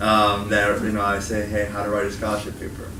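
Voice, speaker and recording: A very fast-talking man with an American accent and a fairly low pitch, amid audible room echo and noticeable background noise. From Chicago. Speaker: college instructor and education video creator. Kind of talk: student workshop talk. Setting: meeting room with student audience. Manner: casual, filler-heavy.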